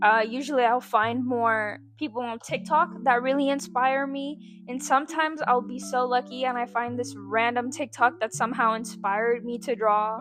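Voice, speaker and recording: Here a woman speaks with a high pitch. She keeps a moderate pace and ordinary pitch variation. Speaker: art YouTuber. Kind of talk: casual vlog tutorial. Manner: casual, filler-heavy.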